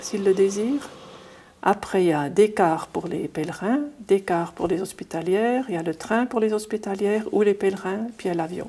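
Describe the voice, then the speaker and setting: A woman's dark, mellow tone at medium pitch, with ordinary pitch variation and a moderate pace. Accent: slight Swiss German. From Ajoie, Swiss Jura, then German-speaking Switzerland. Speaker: nun, pilgrimage organizer. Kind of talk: interview.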